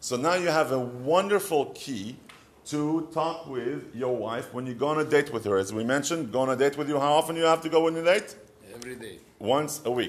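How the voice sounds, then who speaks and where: Speaking fairly quickly in an Israeli accent, a man uses a fairly high pitch with ordinary pitch variation. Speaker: marriage advice rabbi. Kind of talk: short advice talk.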